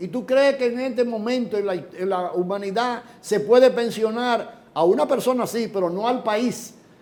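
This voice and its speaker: Over noticeable background noise, a man with a high pitch talks at a moderate pace with ordinary pitch variation and hardly any pauses. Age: 70s. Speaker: economist. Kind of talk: interview.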